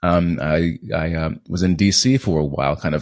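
A man speaks with a very deep, low, resonant voice. The background is quiet. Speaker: actor. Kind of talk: casual interview conversation. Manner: trained, controlled delivery.

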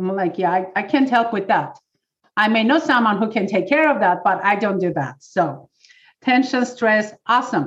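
An ordinary speaking voice from a woman, fairly high in pitch, with lively intonation and a moderate pace. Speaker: pain relief specialist. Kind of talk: workshop talk. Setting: video call.

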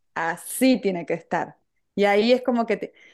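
Against a quiet background, a woman with an Argentine accent speaks at a moderate pace with ordinary pitch variation. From Argentina. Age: 40s. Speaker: pastry chef and entrepreneur. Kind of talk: casual chat.

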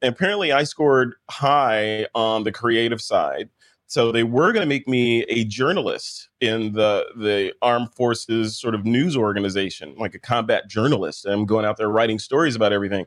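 A man with a General American accent speaks in a plain, everyday voice at medium pitch, keeping a moderate pace with hardly any pauses and ordinary pitch variation. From United States. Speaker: podcaster and former combat photographer. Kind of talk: casual interview chat.

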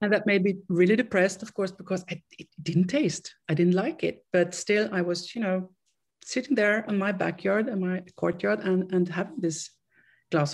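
A somewhat breathy woman speaks at a medium pitch with ordinary pitch variation. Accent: Swedish. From Sweden. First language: Swedish. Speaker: interviewee sharing recovery story. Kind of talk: interview, personal testimony. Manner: halting.

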